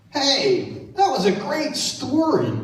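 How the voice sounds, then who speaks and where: In a cartoonish character voice with clear echo, a man speaks at a very slow pace. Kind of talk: church puppet show for children. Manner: excited, playful.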